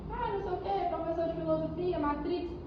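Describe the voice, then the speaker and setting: The room echo is audible and there is noticeable background noise. Over it, a woman talks in an animated tone. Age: 20s. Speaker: spiritist lecturer. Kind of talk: lecture.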